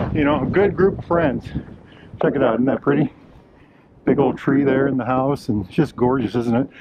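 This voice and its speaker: With an American accent, a man talks at a moderate pace in a relaxed tone, his pitch fairly high and ordinarily varied. He leaves long, frequent pauses, and there is noticeable background noise. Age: 60s. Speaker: outdoor vlogger. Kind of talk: casual vlog monologue. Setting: outdoors on a hiking trail. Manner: relaxed, folksy with many fillers.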